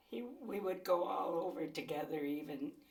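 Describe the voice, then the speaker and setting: A woman speaks at a fairly slow pace with very wide pitch swings. Audible room echo is in the recording. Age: 80s+. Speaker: interviewee, mother. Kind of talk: oral history interview.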